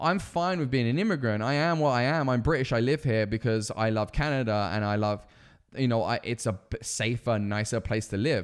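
This man has an English accent and a medium pitch. His tone is animated, his pace fairly quick, and his pitch variation ordinary. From England. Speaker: podcast co-host. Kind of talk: casual chat. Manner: profane and animated.

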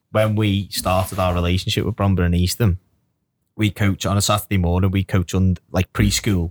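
On a very clean recording with a silent background, a man speaks in a very deep, low pitch with very even loudness and monotone, flat intonation. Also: moderate pace, dry, close sound with no echo. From Birkenhead, Merseyside, England. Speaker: podcast host and grassroots football coach. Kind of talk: casual chat.

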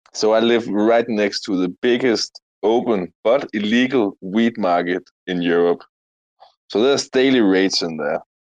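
A man talks at a fairly slow pace in a fairly low pitch. He has a plain, everyday voice with ordinary pitch variation. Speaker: crypto community member. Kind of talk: casual chat. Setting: online audio room.

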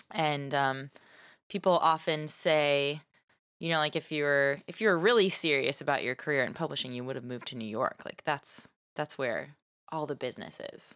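With an American accent and a very deep, low pitch, a woman speaks at a moderate pace with big swings in loudness on a very clean recording with a silent background. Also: ordinary pitch variation. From US South (Nashville and Texas). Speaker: podcast co-host. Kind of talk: casual chat.

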